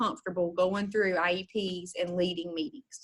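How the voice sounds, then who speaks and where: A woman speaks in a normal speaking voice with fairly even intonation. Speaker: special education trainer. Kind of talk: online training session. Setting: video call.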